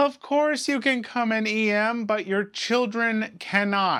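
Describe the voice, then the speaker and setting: A woman speaks in a put-on character voice, pitched fairly high. Her pace is fairly slow. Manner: saccharine, passive-aggressive.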